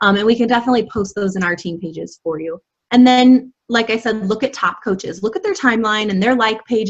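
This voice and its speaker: With a normal speaking voice, a woman talks at a fairly quick pace and uses ordinary pitch variation. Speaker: health and fitness coach. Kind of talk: online training presentation.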